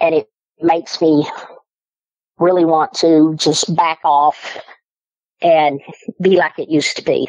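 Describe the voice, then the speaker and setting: Speaking fairly slowly with long, frequent pauses, a woman with an American accent keeps a fairly low pitch and monotone, flat intonation. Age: 50s. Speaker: eyewitness storyteller. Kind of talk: personal testimony.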